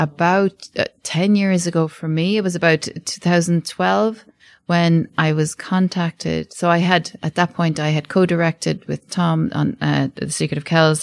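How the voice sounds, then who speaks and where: A woman talks at a moderate pace with a fairly low pitch, fairly even intonation and hardly any pauses. The recording is very clean with a silent background, its sound dry and close with no echo. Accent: Cork. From Ireland, Midleton, County Cork. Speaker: animation director and studio co-founder. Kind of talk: interview.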